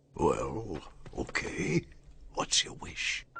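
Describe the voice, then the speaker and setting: In a put-on character voice, a man sounds raspy and very deep and low. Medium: cartoon. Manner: warm, gentle.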